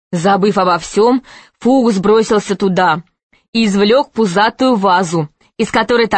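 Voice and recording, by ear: The speaker is reading aloud in a natural voice with ordinary pitch variation. The background is quiet.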